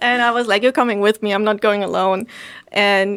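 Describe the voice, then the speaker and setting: A woman at a medium pitch talks in a flat, monotone way on a very clean recording with a silent background. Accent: German. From Germany. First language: German. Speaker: podcaster and local business owner. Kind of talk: casual interview.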